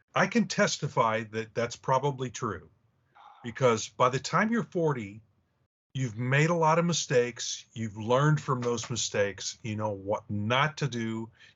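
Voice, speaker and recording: A normal speaking voice, male and medium in pitch, at a moderate pace with ordinary pitch variation. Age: 60s. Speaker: podcast co-host, comic artist. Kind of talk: casual chat.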